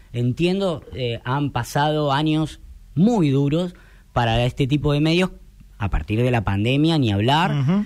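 A man speaks at a fairly slow pace with a Rioplatense accent. His pitch is fairly high, and his intonation is lively. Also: very clean recording, silent background. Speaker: radio broadcaster. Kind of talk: interview.

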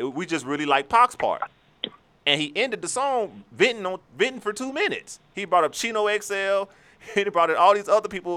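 Using a raised, projected voice, a man speaks at a high pitch and a fairly quick pace with lively intonation. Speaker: podcast host. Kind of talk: casual banter podcast chat. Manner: casual, joking.

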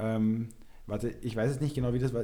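The dark, mellow tone of a man speaking at a medium pitch. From Upper Austria. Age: 20s. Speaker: amateur footballer. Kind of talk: casual chat.

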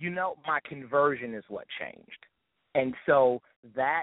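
A man with an ordinary speaking voice at a medium pitch, fairly even intonation, and a fairly slow pace. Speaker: gospel hip hop artist. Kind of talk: interview.

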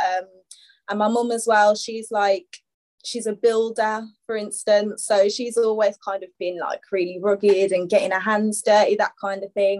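A woman with a Birmingham accent speaks at a medium pitch and a moderate pace. Her intonation is monotone and flat. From Birmingham, England. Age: 20s. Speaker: fashion stylist and upcycling brand owner. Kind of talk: podcast interview.

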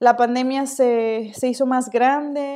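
The very clean recording, with a silent background, captures a woman speaking at a fairly slow pace in a dark, mellow tone. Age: 20s. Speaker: podcast host. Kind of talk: casual monologue.

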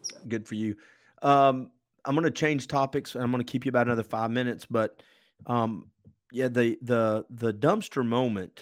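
A man talks in a normal speaking voice at a medium pitch and a moderate pace. His intonation is fairly even, and the recording is very clean with a silent background. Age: 50s. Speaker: podcast host. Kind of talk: casual chat.

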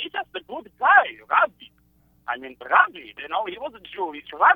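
A man with an Israeli accent talks with very wide pitch swings. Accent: Israeli Hebrew-accented English. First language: Hebrew. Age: 20s. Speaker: caller. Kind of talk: call-in conversation. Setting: phone call. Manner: halting, searching for words.

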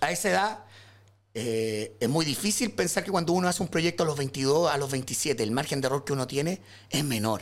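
In a very clean recording with a silent background, a man talks at a moderate pace. His fairly high voice has lively intonation. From Chile, rural O'Higgins region. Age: 30s. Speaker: illustrator and visual artist. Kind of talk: casual chat.

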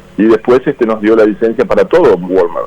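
Over noticeable background noise, the speaker talks at a moderate pace with lively intonation. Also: man. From Uruguay, Canelones area. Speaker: businessman. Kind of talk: interview. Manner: halting, many repetitions.

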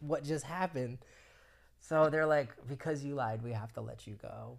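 This man has an American accent and a plain, everyday voice. He speaks at a moderate pace with ordinary pitch variation. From Florida. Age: 30s. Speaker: film production crew member. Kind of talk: casual chat.

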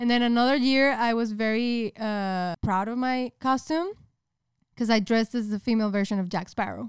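A woman with a Spanish accent, fairly high in pitch with ordinary pitch variation at a moderate pace, on a very clean recording with a silent background and a dry, close sound with no echo. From northern Mexico, Monterrey. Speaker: podcast co-host and YouTuber. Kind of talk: casual chat.

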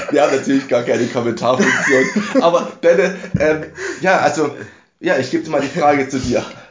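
There is audible room echo along with noticeable background noise. A man speaks at a moderate pace with a fairly high pitch and ordinary pitch variation. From Saxony, Dresden. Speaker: podcast host, church lay delegate. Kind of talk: casual chat.

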